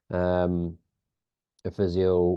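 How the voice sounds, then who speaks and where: A man with a Northern Irish accent. His pitch is very deep and low. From Northern Ireland. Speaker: sports biomechanics lead. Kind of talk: podcast interview. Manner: hesitant, many fillers.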